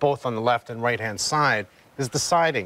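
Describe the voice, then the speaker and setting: A man speaks at a fairly quick pace with ordinary pitch variation, and the sound is dry with no echo. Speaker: contractor. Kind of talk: commentary. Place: street.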